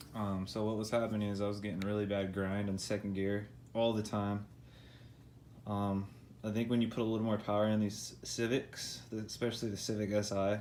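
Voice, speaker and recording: At a fairly quick pace, a man mumbles in a fairly low pitch. His intonation is flat and monotone. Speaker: car enthusiast doing own repairs. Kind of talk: DIY car repair tutorial. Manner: casual, mumbling.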